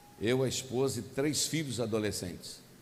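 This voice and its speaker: There is audible room echo around a man with a medium pitch. He talks at a fairly slow pace with ordinary pitch variation. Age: 60s. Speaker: pastor. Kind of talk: sermon.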